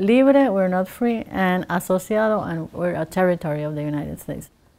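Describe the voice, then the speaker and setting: In a Spanish accent, a woman speaks at a moderate pace. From Puerto Rico (Ponce). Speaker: artist. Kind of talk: interview monologue. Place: workshop.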